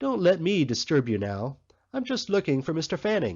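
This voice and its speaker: Soft-spoken and fairly high, a man's put-on character voice moves at a moderate pace with very wide pitch swings. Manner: discreet, indulgent.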